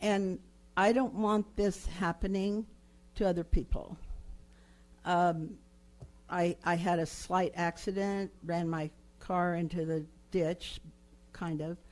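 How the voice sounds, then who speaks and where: Over a quiet background, a woman with a fairly low pitch talks very slowly, with long, frequent pauses and fairly even intonation. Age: 80s+. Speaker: spiritual counselor and teacher. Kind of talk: public comment speech. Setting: city council meeting. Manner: halting, many fillers.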